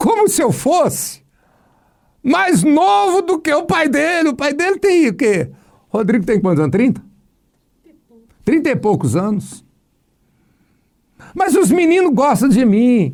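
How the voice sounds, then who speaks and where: A man speaks in an extremely high pitch with very wide pitch swings and very even loudness. He moves at a fairly slow pace, with long, frequent pauses. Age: 60s. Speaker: pastor. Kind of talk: casual chat. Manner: animated.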